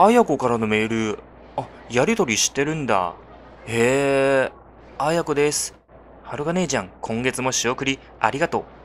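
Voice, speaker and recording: Using lively intonation, a man with a medium pitch talks at a moderate pace, leaving long, frequent pauses. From China. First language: Chinese (speaking Japanese). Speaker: gaming YouTuber. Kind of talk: game commentary with dialogue read aloud. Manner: animated, frequent laughter.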